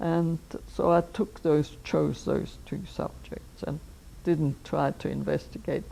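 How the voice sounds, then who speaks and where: Here a woman talks at a fairly slow pace. She speaks with an Austrian accent. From Austria, Vienna. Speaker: anthropologist. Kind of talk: life history interview. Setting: filmed interview.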